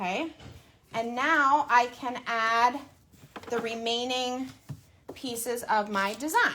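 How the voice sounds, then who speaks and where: A loud, high female voice with ordinary pitch variation. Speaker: crafting tutorial host. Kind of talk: tutorial.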